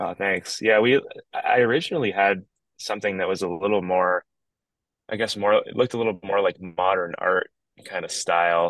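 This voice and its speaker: A man talks at a moderate pace in a fairly low pitch with ordinary pitch variation. The sound is dry and close, with no echo. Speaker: hardcore band singer. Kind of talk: casual chat. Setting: outdoors in backyard, remote call.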